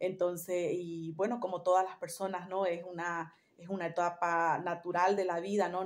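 A woman speaks at a fairly low pitch. Her intonation stays monotone and flat. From Bolivia, Santa Cruz; Bolivia. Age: 40s. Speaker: holistic therapist. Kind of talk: personal storytelling monologue; casual vlog chat, personal reflection. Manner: halting, many fillers. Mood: calm, reflective, spiritual. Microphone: phone near.

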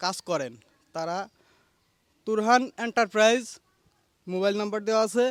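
Here a man speaks at a high pitch with ordinary pitch variation. The sound is dry and close, with no echo. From Magura district, Bangladesh. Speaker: building contractor. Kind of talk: customer testimonial. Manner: halting.

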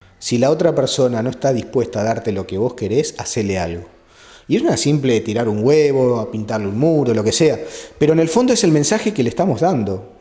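The pace is fairly quick, with lively intonation. The tone is dark and mellow. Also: man. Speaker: priest interviewed. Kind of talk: interview answer. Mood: earnest, explanatory. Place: home room.

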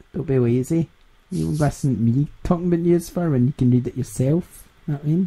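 In a Scottish accent, a man talks at a fairly quick pace with a fairly high pitch, a dark, mellow tone, a somewhat breathy quality and ordinary pitch variation. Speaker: gaming podcast host. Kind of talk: casual chat.

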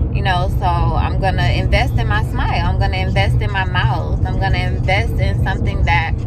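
A woman talks at a fairly quick pace with clear music in the background. The sound is dry, with no echo. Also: ordinary pitch variation, hardly any pauses. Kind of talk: casual vlog chat. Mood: grateful, reflective. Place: car. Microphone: phone near.

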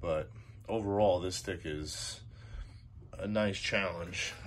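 A man talks in a very deep, low pitch over light background noise. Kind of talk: casual vlog chat. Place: garage. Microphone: phone near.

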